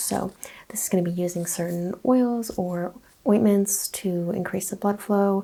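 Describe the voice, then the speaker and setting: A soft-spoken woman talks with fairly even intonation. Noticeable background noise can be heard. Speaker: holistic practitioner roleplay. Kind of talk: ASMR roleplay. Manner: soft-spoken, relaxing.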